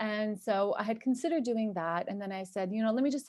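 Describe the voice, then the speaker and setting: This woman's voice sits at medium pitch. Its pitch varies in an ordinary way. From US, New York and New Jersey. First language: Turkish. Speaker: cosmetic chemist and entrepreneur. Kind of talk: podcast interview.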